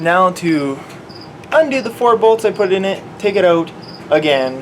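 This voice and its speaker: Noticeable background noise surrounds a man speaking at a fairly slow pace. His high-pitched voice carries lively intonation. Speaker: vlogger and automotive student. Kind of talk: casual vlog tutorial. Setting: basement at night. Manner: quiet.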